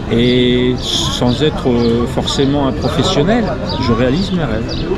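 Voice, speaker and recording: A man's medium-pitched voice at a very slow pace, with ordinary pitch variation and very even loudness, plus audible room echo and noticeable background noise. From northern France. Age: 60s. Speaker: retired amateur actor. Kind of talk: interview. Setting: outdoors on a film set. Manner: halting, many hesitations.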